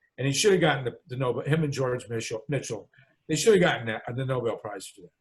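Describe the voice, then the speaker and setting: Lively intonation and a somewhat breathy quality in a man's voice. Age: 70s. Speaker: political activist and author. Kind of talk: radio interview. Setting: radio program. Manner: halting, many fillers and restarts.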